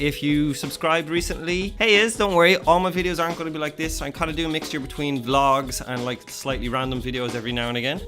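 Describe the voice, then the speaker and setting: Very fast, upbeat speech from a man with an Irish accent, fairly high-pitched with ordinary pitch variation, over clear music in the background. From Ireland. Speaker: vlogger; youtuber. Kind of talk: casual talk to camera. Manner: upbeat, jokey. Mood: playful, joking. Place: home room.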